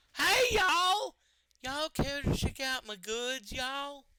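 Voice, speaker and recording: A put-on character voice delivers the lines at a high pitch and a fairly slow pace. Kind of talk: casual, y'all.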